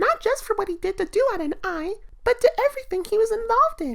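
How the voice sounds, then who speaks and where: A squeaky, female-sounding put-on character voice at a moderate pace. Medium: audio drama. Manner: gentle, warm.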